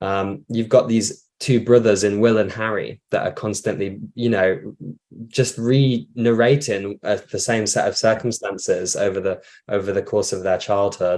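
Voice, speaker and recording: On a very clean recording with a silent background, a man with a fairly low pitch speaks at a moderate pace in a monotone, flat intonation. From northwest England, Bolton. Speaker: theatre director. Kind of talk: interview. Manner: halting, many fillers and repeats.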